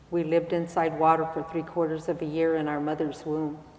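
A woman speaks at a fairly low pitch. Audible room echo surrounds her voice. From Arizona, Hopi-Tewa and Havasupai; Arizona. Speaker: spiritual elder; speaker. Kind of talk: public talk. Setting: stage with audience. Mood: calm, reflective, slow. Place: church. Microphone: lapel.

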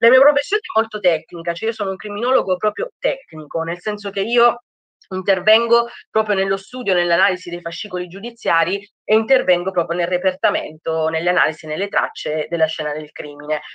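In a dry sound with no echo and a quiet background, a woman speaks at a fairly quick pace and medium pitch with ordinary pitch variation. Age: 30s. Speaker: criminologist. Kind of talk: lecture. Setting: video call. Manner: halting. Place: home room. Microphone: webcam.

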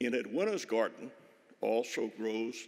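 The man's speech is very slow, with little sound behind him. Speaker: speaker. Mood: warm, anecdotal tribute. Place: hall. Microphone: podium.

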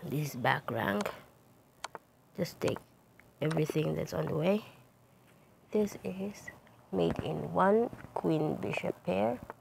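Over noticeable background noise, the speech moves at a very slow pace with long, frequent pauses. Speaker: chess streamer. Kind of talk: puzzle commentary.

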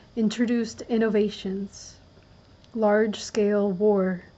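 A woman speaks softly and somewhat breathily. Her pace is very slow. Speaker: reader. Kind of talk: audiobook-style reading of a nonfiction book, ASMR. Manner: soft-spoken. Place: home room.

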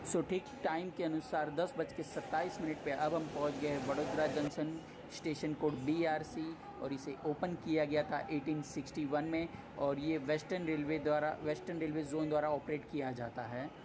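Noticeable background noise sits under words delivered at a moderate pace. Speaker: travel vlogger. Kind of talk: casual vlog narration. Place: train. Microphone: phone near.

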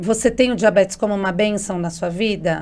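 A woman speaks at a moderate pace in a fairly high pitch. The recording is very clean, set against a silent background. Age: 40s. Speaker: journalist and diabetes advocate. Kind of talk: interview.

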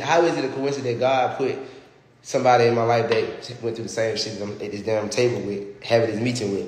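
Very fast speech with audible room echo and light background noise. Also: man. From Alabama, US South. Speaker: social media personality; livestreamer. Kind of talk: casual storytelling livestream. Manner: animated. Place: home room. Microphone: phone near.

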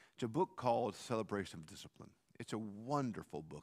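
The background stays quiet. A man speaks very fast. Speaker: pastor. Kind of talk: sermon. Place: church.

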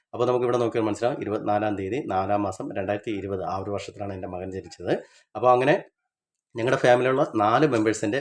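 With a normal speaking voice, this man keeps his fairly low pitch on a fairly even line. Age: 30s. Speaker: coin and banknote collector, video creator. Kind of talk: tutorial.

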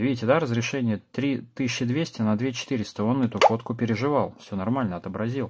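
Talking very fast, a man keeps a medium pitch with ordinary variation in a very clean recording with a silent background. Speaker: tech reviewer. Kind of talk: product review. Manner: casual.

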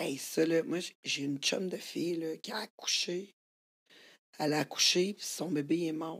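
Pausing long and often, the speaker talks fairly slowly in a Quebec accent with ordinary pitch variation. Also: woman, fairly low pitch for a woman. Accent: Québécois French. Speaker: podcast host. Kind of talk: casual chat.

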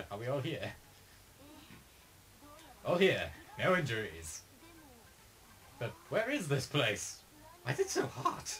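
Over clear background noise, a man does a put-on character voice at a fairly high pitch, moving at a fairly slow pace with long, frequent pauses. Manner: perfect vampire voice, dramatic.

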